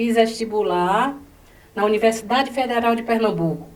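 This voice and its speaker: Noticeable background noise sits alongside audible room echo in this recording. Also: woman. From Bahia, Brazil. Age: 70s. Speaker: educator. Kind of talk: interview.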